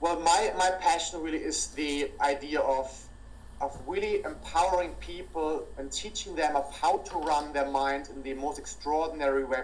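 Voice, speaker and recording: A man speaks with a strong German accent. Audible room echo can be heard. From Germany, near Cologne. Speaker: entrepreneur and business speaker. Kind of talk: interview. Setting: call.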